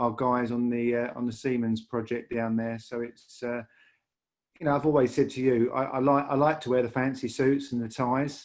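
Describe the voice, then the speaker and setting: Medium-pitched male speech at a moderate pace, monotone and flat, on a very clean recording with a silent background. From northern England, Lancashire (Bury). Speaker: rail industry leader. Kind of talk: podcast interview. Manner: halting, many repetitions and fillers.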